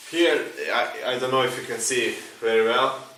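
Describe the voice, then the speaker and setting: A man with a non-native accent and medium pitch, amid audible room echo and noticeable background noise. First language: not English. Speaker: engineering teacher. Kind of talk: tutorial. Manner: halting.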